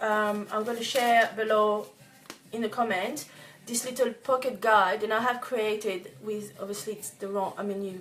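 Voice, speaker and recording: With music in the background, a woman speaks in a French accent at a moderate pace. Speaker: organic cosmetics business owner. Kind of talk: tutorial. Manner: halting, many fillers and restarts.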